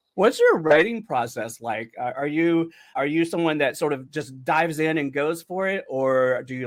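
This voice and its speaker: A man with an ordinary speaking voice, fairly high in pitch, talks at a moderate pace with ordinary pitch variation. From North Carolina, US South. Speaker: podcast host. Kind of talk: interview.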